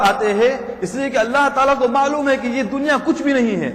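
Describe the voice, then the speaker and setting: Noticeable background noise and audible room echo surround a man whose pitch is extremely high. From England, Leicester. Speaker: Islamic scholar. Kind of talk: religious lecture.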